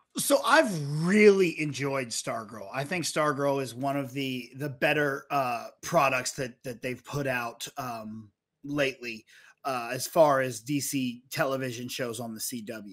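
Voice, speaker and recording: A fairly slow pace with ordinary pitch variation over a quiet background. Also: man. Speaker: podcast co-host. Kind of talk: commentary. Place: studio. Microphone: studio mic.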